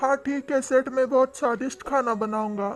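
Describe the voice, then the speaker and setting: A female-sounding, cartoonish character voice holds a high pitch with fairly even intonation. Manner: meek, apologetic.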